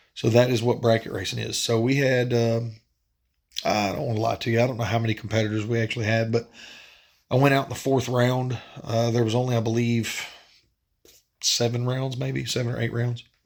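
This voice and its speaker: At a fairly quick pace but with long, frequent pauses, a man talks at a medium pitch with monotone, flat intonation. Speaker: drag racing vlogger. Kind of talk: casual vlog update. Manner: hesitant with many fillers.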